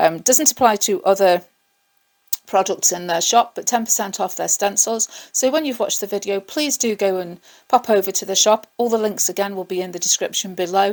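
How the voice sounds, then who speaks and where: A woman of medium pitch with an English accent talks at a fairly quick pace. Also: ordinary pitch variation. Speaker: craft artist, video creator. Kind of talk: tutorial. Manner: casual, hesitant with fillers.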